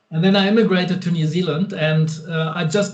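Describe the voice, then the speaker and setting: There is audible room echo as a man speaks with a German accent. His pace is moderate. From Germany. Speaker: guitar pedal and amp maker. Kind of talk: interview. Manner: halting.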